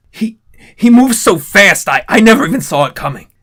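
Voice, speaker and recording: A raspy put-on character voice from a man at a moderate pace. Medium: read story. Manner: somber, resigned.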